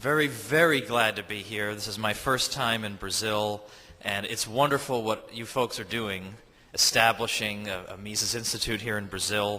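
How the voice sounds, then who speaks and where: A man with an American accent, fairly low in pitch, at a moderate pace with fairly even intonation, amid noticeable background noise and audible room echo. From United States. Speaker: historian and author. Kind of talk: speech to an audience. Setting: stage with audience.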